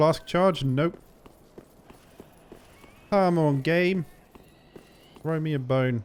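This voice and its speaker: A man with a British accent talks at a very slow pace. His pitch is fairly high. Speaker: let's play gamer. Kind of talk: gameplay commentary. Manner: casual, excitable.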